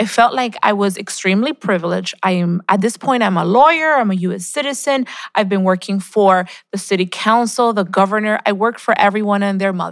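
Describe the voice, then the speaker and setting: A woman speaks in a plain, everyday voice at a fairly quick pace. Her pitch is medium, with ordinary pitch variation. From Colombia, raised in Queens, New York. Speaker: state legislator. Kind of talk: interview.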